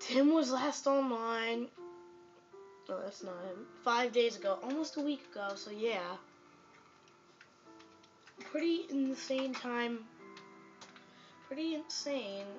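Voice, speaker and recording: The speech comes at a very slow pace with long, frequent pauses. Music plays clearly in the background. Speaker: gamer filming his TV. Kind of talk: casual gameplay commentary. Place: home room. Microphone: phone near.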